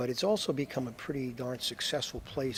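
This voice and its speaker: A man speaks in a normal speaking voice at a moderate pace. His pitch is medium and his intonation fairly even. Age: 60s. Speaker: basketball coach. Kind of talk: interview. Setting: Iceland.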